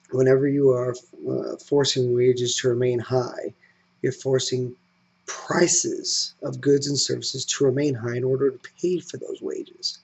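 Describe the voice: The voice moves at a fairly slow pace with little pitch movement, vocal fry, a slightly mellow tone and a slightly husky edge. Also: man, medium pitch for a man.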